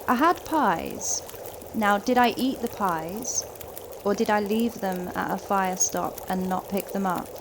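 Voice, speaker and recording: With a Kent accent, a woman speaks at a fairly slow pace and medium pitch, showing ordinary pitch variation over noticeable background noise. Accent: southern English, sounds like Kent. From southeast England. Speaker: gaming streamer. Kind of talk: live gameplay commentary. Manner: casual, chatty.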